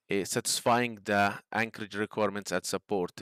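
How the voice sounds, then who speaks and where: With a non-native accent, a man speaks at a fairly low pitch, the sound dry and close with no echo on a very clean recording with a silent background. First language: not English. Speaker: structural engineering instructor. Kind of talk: tutorial. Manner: halting, many fillers.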